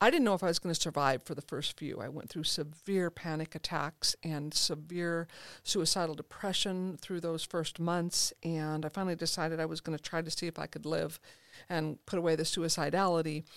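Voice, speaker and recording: In a very clean, dry, close recording with a silent background and no echo, a woman with a normal speaking voice talks at a fairly quick pace. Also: fairly low pitch for a woman, fairly even intonation. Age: 50s. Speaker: therapist and author. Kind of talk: interview. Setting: studio.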